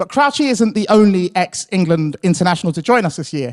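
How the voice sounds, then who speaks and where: A loud man with a British accent speaks at a moderate pace, his high pitch rising and falling with lively intonation. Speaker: account director at a podcast company. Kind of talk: conference presentation. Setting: stage with audience. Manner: hesitant with fillers.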